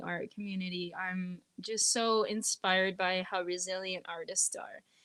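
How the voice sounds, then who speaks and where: Speaking with a slight French Canadian accent, a woman uses ordinary pitch variation on a very clean recording with a silent background. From northeastern Ontario, Canada. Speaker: singer-songwriter. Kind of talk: interview conversation.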